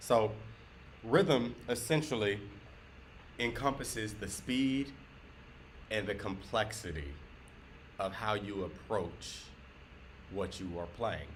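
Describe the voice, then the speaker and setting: A man with a Southern US accent speaks very slowly at a fairly low pitch, with lively intonation and long, frequent pauses. His voice is somewhat breathy, and room echo is audible. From US South. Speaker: guitar teacher. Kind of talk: tutorial. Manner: moderate pace.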